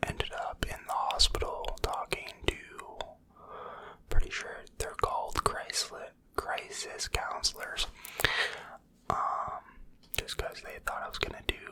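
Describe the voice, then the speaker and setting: A man whispers at a fairly slow pace, leaving long, frequent pauses. His loudness swings widely over noticeable background noise. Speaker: ASMR creator. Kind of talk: whispered ramble story time, personal confessional. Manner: whispered, soft-spoken, slow.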